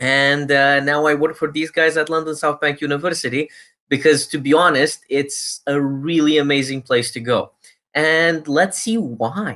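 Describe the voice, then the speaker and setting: Against background music, a man with a fairly high voice talks at a moderate pace with fairly even intonation. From Romania. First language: Romanian. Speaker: university recruiter. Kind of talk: presentation. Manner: casual, filler-heavy.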